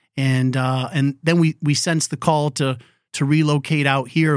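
A normal speaking voice with an American accent, fairly even intonation and a fairly slow pace, in a very clean recording with a silent background. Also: man. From New England, Connecticut. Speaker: non-profit coach, former pastor. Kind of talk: interview conversation.

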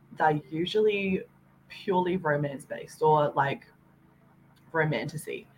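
A woman's very deep, low voice, somewhat breathy, at a fairly slow pace. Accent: Australian. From Australia. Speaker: hobby book YouTuber. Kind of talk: casual chat. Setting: video call. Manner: chatty, many fillers.

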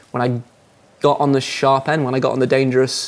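A man talks in an English accent. His pace is fairly quick. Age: 30s. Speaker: professional rock climber. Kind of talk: interview. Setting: studio.

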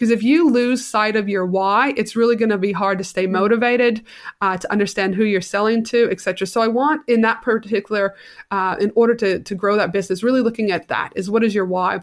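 In a very clean recording with a silent background, a woman with a Canadian accent talks at a very fast pace, her pitch fairly high and her intonation fairly even. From Canada. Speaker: business coach. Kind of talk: casual interview.

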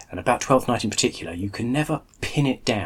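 A man speaks in a somewhat breathy voice. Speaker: podcast host. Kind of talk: casual chat.

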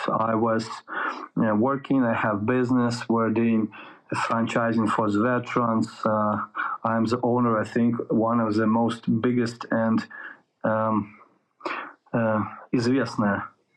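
A man speaks at a medium pitch with a Russian accent and very even loudness. He leaves long, frequent pauses. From Ukraine. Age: 30s. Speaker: soldier. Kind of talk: interview. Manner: halting; profane.

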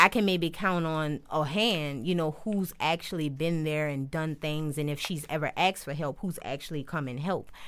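A woman's very deep, low voice in a New Orleans accent, with ordinary pitch variation, on a very clean recording with a silent background. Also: moderate pace, hardly any pauses. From New Orleans, Uptown. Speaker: podcast host, former shelter resident and mother. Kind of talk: casual interview chat.

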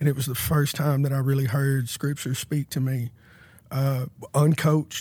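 In a very clean recording with a silent background, a man with an American accent speaks in a somewhat breathy voice, fairly high-pitched, with monotone, flat intonation. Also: moderate pace. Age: 30s. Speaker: former prisoner sharing faith testimony. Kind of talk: testimony.

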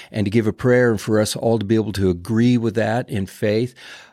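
Recorded very cleanly against a silent background, with a dry, close sound and no echo, a man of medium pitch speaks in a plain, everyday voice. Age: 60s. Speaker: ministry leader and prayer organizer. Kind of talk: casual interview chat. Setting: podcast studio.

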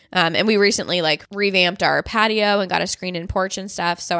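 A woman's fairly low voice with a Midwestern American accent, bright and sharp in tone, with fairly even intonation, recorded dry and close with no echo against a silent background on a very clean recording. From US Midwest. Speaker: podcast host, dietitian. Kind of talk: casual solo monologue. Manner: chatty, fast.

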